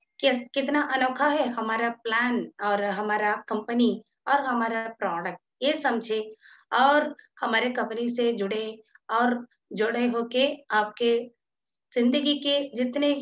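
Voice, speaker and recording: A woman with a non-native accent talks at a high pitch, her intonation fairly even. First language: not Hindi (speaking Hindi). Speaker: network marketing presenter. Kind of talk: sales pitch. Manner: halting, frequent fillers.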